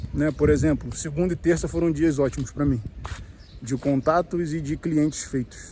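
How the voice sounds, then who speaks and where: Monotone and flat in intonation, a man with a fairly high pitch speaks at a moderate pace. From Brazil, Rio de Janeiro. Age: 30s. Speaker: vlogger, small business owner. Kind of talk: casual vlog talk to camera. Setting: outdoors at the beach. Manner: slightly halting, nervous first video.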